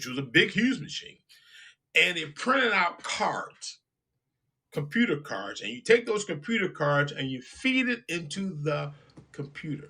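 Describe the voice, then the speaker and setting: A man with a high pitch and a bright, sharp tone talks at a fairly slow pace, his voice making very wide pitch swings and big swings in loudness, broken by long, frequent pauses. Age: 60s. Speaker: radio show host. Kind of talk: casual talk show monologue. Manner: halting, repetitive.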